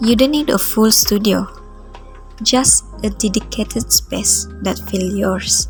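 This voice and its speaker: A non-native accent at a very slow pace, with music in the background. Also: woman. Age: 20s. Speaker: art vlogger. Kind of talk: reflective vlog voice-over.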